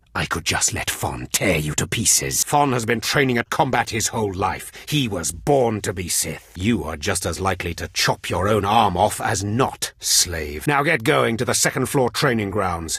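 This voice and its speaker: Putting on a character voice, a man speaks raspy and fairly low-pitched at a moderate pace, with hardly any pauses. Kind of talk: video game character dialogue. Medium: video game. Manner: contemptuous, commanding.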